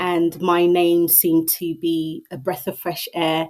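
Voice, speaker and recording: Speaking with a British accent, a woman talks at a very slow pace. Her pitch is fairly low. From Southeast London, England. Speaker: mental health advocate. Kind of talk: interview conversation.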